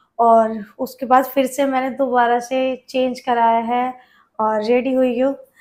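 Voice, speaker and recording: The recording is very clean, with a silent background. A woman speaks in a high, flat monotone. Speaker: vlogger. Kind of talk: product haul vlog. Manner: chatty, informal.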